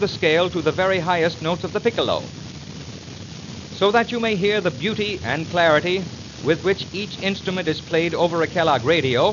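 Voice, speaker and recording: A high-pitched man at a fairly quick pace, with ordinary pitch variation and noticeable background noise. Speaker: radio announcer. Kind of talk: radio product demonstration narration. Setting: old 1929 78 rpm record recording.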